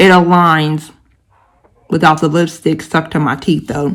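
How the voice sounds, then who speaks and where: A woman's fairly low-pitched voice with fairly even intonation. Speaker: beauty vlogger. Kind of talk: casual video review. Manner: slightly impeded, sucking spit.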